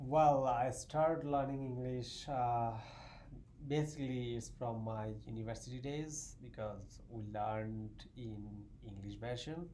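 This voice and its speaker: A dark, mellow tone moves at a fairly slow pace against audible room echo. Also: man, medium pitch for a man, ordinary pitch variation. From Bangladesh, southeast. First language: Bengali. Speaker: math graduate student. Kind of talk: casual interview chat.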